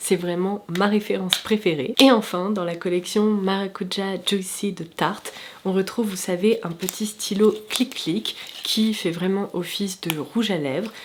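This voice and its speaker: Noticeable background noise runs under the recording. A woman with a medium pitch speaks at a fairly slow pace. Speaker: beauty YouTuber. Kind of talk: product review vlog. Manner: enthusiastic, chatty.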